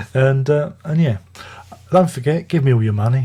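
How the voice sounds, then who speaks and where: A man with an English accent talks at a fairly quick pace, quietly and somewhat breathily. His medium-pitched voice has a dark, mellow tone and ordinary pitch variation. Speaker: music reviewer. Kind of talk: casual video review monologue. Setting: at home, early morning.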